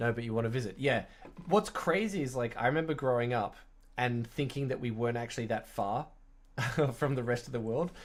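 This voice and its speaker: With an Australian accent, a man at medium pitch talks at a fairly quick pace, showing ordinary pitch variation and long, frequent pauses. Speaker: streamer doing woodworking. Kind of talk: casual live stream chat. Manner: casual, chatty.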